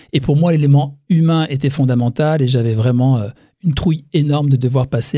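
A man's somewhat breathy voice with a dark, mellow tone, medium pitch, ordinary pitch variation and a fairly quick pace. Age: 60s. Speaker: facial massage practitioner. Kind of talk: interview.

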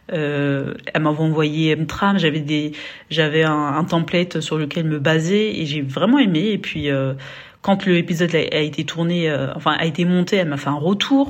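A woman with a very deep, low pitch speaks fairly slowly with fairly even intonation. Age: 30s. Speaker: podcaster. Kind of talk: testimony. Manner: halting.

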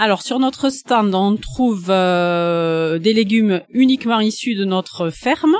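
Intonation is lively as the speaker goes at a very slow pace, with hardly any pauses. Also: woman, medium pitch for a woman. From Landes, southwest France (Pouillon). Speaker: organic vegetable farmer. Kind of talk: interview.

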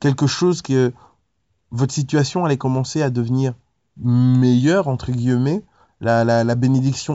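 A man's voice at medium pitch, fairly slow pace, and ordinary pitch variation. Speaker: preacher. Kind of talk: devotional Bible teaching, preacher-style sermon. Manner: earnest, exhorting, direct appeals to the listener; casual, conversational, with hesitations.

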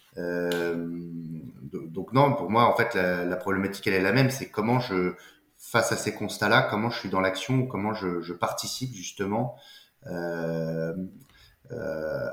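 A man with a fairly low pitch and ordinary pitch variation, speaking at a fairly slow pace with long, frequent pauses, in audible room echo. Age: 30s. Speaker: entrepreneur, company co-founder. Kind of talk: casual interview. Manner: halting, frequent repetitions and fillers.

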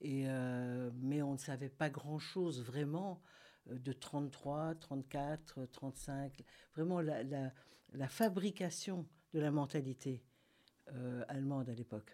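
Her very deep, low pitch and dark, mellow tone carry ordinary pitch variation as the woman speaks at a very slow pace. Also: very clean recording, silent background. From Argentina. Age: 70s. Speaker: author and philosophy talk organiser. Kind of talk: radio interview. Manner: halting.

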